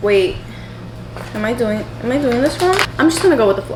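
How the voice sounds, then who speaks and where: A woman with an American accent speaks in an animated tone, her high pitch rising and falling with lively intonation. Audible room echo and noticeable background noise are present. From New York City. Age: 20s. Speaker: lifestyle vlogger. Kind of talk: casual vlog talk. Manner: fast.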